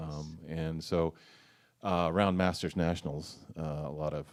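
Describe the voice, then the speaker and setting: His pitch is very deep and low. The man's intonation stays flat and monotone. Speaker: blues harmonica player and singer; former rower. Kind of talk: interview. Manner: hesitant, many fillers.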